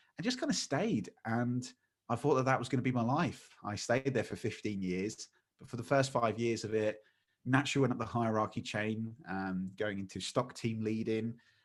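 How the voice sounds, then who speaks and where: In a very clean recording with a silent background, a man with an East Midlands accent talks at a fairly quick pace in a medium pitch, with ordinary pitch variation. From England, Lincolnshire. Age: 30s. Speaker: magician and speaker. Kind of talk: podcast interview.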